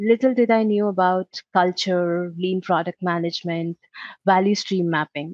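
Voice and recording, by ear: A woman's fairly low, slightly mellow voice at a moderate pace, with fairly even intonation and a dry, close sound with no echo.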